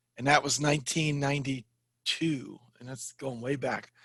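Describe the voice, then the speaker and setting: A man with an American accent speaks in a normal speaking voice at a moderate pace, his pitch fairly high. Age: 50s. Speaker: Spanish and ESL teacher, finance blogger. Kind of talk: interview.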